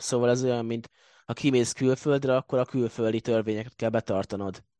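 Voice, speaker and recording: Against a quiet background, a man talks at a fairly quick pace with monotone, flat intonation. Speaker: football blog editor. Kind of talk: casual sports discussion.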